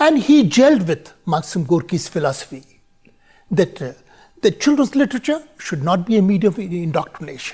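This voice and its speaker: A man speaks with an Indian accent. His pitch swings very widely. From India, Bareilly, Uttar Pradesh. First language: Hindi. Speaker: conference speaker. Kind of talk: recorded conference talk.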